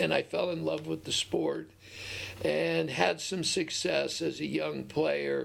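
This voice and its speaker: With an American accent, the speaker talks at a fairly slow pace over noticeable background noise. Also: man. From Southern California, Orange County. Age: 60s. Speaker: high school football coach. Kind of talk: interview.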